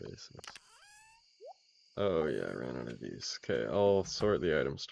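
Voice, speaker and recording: A man's very deep, low voice with vocal fry, very wide pitch swings and a fairly slow pace. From Canada, Calgary. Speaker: video game streamer. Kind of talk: casual live-stream chat while gaming. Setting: live stream.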